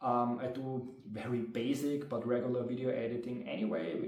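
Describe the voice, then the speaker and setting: There is audible room echo and noticeable background noise as a man talks at a medium pitch with fairly even intonation. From Austria. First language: German. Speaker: tabletop game master and video creator. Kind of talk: casual monologue to camera. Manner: talkative, filler-heavy. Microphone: low quality recording.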